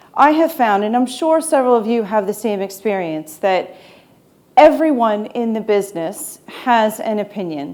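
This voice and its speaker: Speaking with an American accent at a fairly slow pace, a woman uses a dark, mellow tone with very wide pitch swings, and the room echo is audible. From United States. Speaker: e-commerce consultant. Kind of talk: conference talk.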